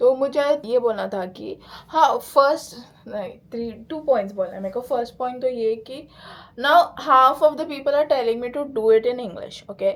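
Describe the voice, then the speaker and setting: The speech shows big swings in loudness alongside ordinary pitch variation. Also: woman, high pitch for a woman, moderate pace. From India, Pune. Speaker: lifestyle vlogger. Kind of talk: casual vlog chat, Hindi-English code-switching. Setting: at home, bedroom. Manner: relaxed, chatty.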